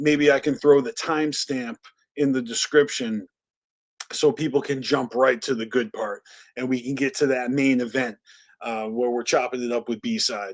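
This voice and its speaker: A man with an American accent speaks at a medium pitch and a moderate pace, with ordinary pitch variation. The sound is dry and close with no echo, in a very clean recording with a silent background. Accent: Boston accent, stronger when drinking. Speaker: live stream podcast host. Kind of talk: casual live stream chat. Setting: live stream.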